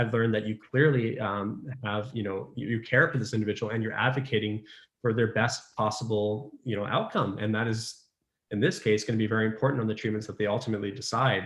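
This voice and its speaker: In a Canadian accent, a man speaks very fast at a medium pitch. His voice is somewhat breathy and his intonation fairly even. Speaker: pediatric resident physician. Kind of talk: casual interview chat. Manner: talkative.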